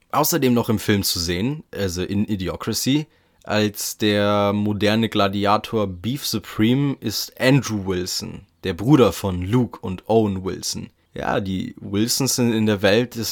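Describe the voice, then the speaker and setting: On a very clean recording with a silent background, a man with a plain, everyday voice speaks at a fairly slow pace and a fairly low pitch, with ordinary pitch variation. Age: 20s. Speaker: podcast host. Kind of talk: solo podcast monologue. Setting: attic room at home. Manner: casual, chatty.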